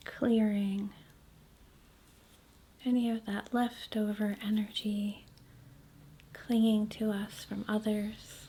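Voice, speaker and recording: A soft-spoken woman talks very slowly in a calm, somewhat breathy voice, fairly high in pitch with a dark, mellow tone. Her intonation stays monotone and flat, broken by long, frequent pauses. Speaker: reiki practitioner. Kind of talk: reiki asmr healing session. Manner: soft-spoken, calm.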